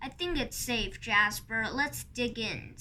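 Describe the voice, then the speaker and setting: A woman does a put-on character voice, high-pitched and fairly slow, with light background noise. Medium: read story.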